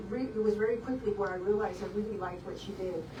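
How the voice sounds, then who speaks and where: In an American accent, a woman with a medium pitch speaks with fairly even intonation, with audible room echo and noticeable background noise. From South Texas (Beeville, Bee County). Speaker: optometrist. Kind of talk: interview.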